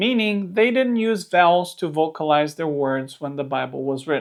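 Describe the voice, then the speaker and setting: Someone speaks with a Romanian accent against a quiet background. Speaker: Bible teacher. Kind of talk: scripted narration.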